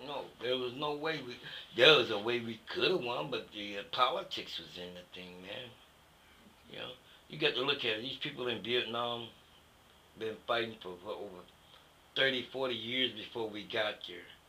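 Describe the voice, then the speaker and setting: Speaking at a moderate pace with long, frequent pauses, a man at a medium pitch shows ordinary pitch variation and big swings in loudness over noticeable background noise. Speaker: war veteran. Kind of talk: interview answer. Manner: casual, conversational.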